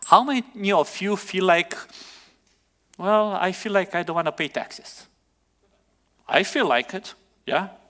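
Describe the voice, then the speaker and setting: This is a very clean recording over a silent background. The voice has a bright, sharp tone. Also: man. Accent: non-native. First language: not English. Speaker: pastor. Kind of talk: sermon.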